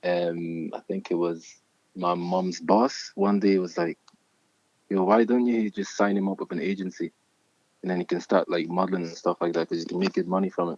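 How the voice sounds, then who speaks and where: The sound is dry and close with no echo. Delivery comes at a moderate pace with fairly even intonation. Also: man, very deep, low pitch for a man. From Scotland, Glasgow (born in Nigeria, moved at nine). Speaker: model and rap artist. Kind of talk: casual interview chat.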